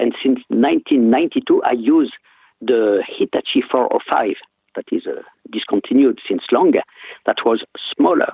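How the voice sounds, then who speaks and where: A man speaks with a French accent. He takes a fairly slow pace. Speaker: physician and professor. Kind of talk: interview. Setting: phone call.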